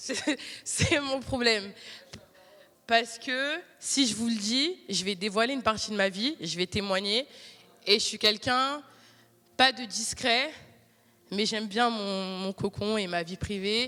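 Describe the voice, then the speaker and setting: Pausing long and often, a woman speaks at a very slow pace with a fairly high pitch and a bright, sharp tone. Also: ordinary pitch variation. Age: 20s. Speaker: lay preacher. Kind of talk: sermon.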